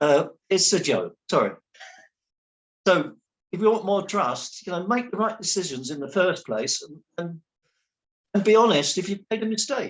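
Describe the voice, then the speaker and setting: A man talks at a moderate pace in a high pitch, with an animated tone and lively intonation. His loudness swings widely, and he leaves long, frequent pauses. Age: 70s. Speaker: local election candidate. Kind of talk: online candidate interview. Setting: online video meeting. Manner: animated, hesitant with repetitions.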